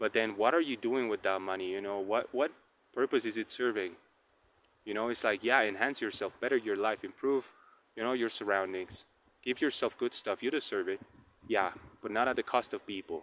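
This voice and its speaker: A man with a Spanish accent speaks at a medium pitch and a fairly quick pace, with ordinary pitch variation and long, frequent pauses. The recording is very clean, dry and close, with no echo and a silent background. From Colombia. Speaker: tarot reader. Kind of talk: casual vlog monologue. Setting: outdoors on a walk. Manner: halting, many fillers and repetitions.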